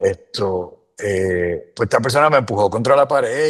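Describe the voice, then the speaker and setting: A man with a Puerto Rican accent, quiet background. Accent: Puerto Rican accent when speaking English. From Puerto Rico. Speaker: immigrant sharing experiences. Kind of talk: casual interview chat.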